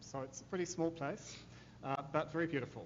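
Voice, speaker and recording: Audible room echo surrounds a man speaking in a New Zealand accent with fairly even intonation. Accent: New Zealand, noticeable. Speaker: corporate affairs manager, panelist. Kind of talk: conference panel talk. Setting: law school conference with audience.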